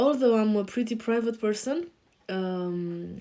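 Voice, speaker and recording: A woman with a European accent speaks at a fairly slow pace in a dark, mellow tone. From Romania. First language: Romanian. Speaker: life coach. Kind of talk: self-introduction on a show. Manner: hesitant, many fillers.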